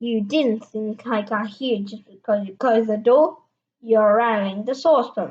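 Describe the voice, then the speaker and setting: A woman's put-on character voice, shrill and fairly high, at a moderate pace with ordinary pitch variation and big swings in loudness. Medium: read story.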